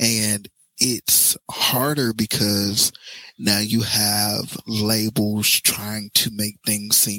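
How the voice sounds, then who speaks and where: The sound is dry and close, with no echo. A man with an American accent speaks in a bright, sharp tone. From Cincinnati, Ohio. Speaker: singer-songwriter. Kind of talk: casual chat.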